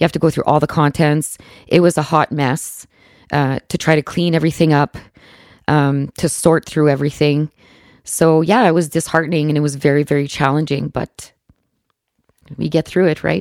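Delivered at a moderate pace with fairly even intonation, the speech has long, frequent pauses and a dry, close sound with no echo. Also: woman, very deep, low pitch for a woman. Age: 40s. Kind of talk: interview.

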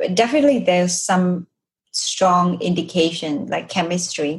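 A woman with a Vietnamese accent talks at a fairly slow pace in a somewhat breathy voice, with a fairly low pitch and ordinary pitch variation. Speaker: podcast host. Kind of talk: interview.

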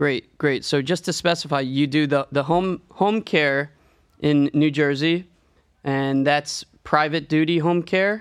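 Over a quiet background, a man with an unremarkable speaking voice talks at a fairly slow pace, his fairly high pitch in a fairly even intonation and his loudness very even. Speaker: podcast host. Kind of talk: interview.

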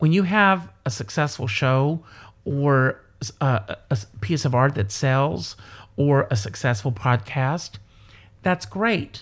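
With an American accent, a man speaks very slowly in a fairly high, somewhat breathy voice with very wide pitch swings. The recording is very clean, with a silent background. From South Carolina, US. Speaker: entertainer and performer. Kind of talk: casual interview chat.

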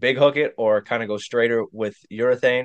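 A man speaks in a normal speaking voice. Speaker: podcast co-host. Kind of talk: casual chat.

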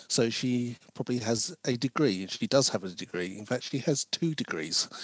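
A man with a London accent and lively intonation, in a dry, close sound with no echo. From South London, England. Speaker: screenwriter and diversity consultant. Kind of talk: interview.

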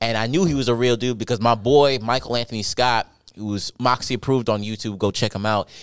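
A man's medium-pitched voice with an American accent, at a very fast pace with fairly even intonation, in a very clean recording with a silent background. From New York. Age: 20s. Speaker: comedian. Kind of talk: casual chat.

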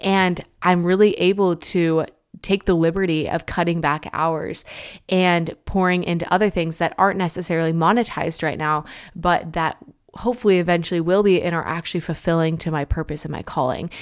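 A woman's animated, fairly quick voice, fairly low in pitch. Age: 20s. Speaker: podcast host. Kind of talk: casual monologue.

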